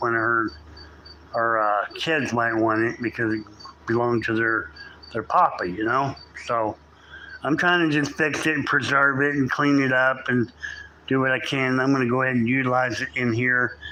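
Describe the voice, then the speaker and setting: Noticeable background noise sits under a man's medium-pitched voice. He keeps a moderate pace with ordinary pitch variation. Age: 60s. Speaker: live streamer doing home repairs. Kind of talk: casual live stream chat. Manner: rambling, halting with repeats.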